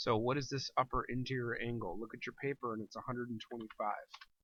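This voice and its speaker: A man's unremarkable speaking voice at a fairly quick pace. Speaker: teacher. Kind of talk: tutorial. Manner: casual, conversational.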